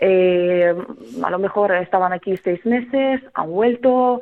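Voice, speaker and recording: Her intonation moves in a lively way. The woman talks at a fairly slow pace. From central Ukraine, Kremenchuk. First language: Ukrainian (speaking Spanish). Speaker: singer and refugee helper. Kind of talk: radio interview. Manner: hesitant, many fillers.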